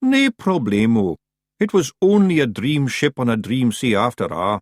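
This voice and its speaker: Putting on a character voice, a man speaks at a medium pitch and moderate pace, his pitch swinging very widely. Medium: read story. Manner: nervous, eager.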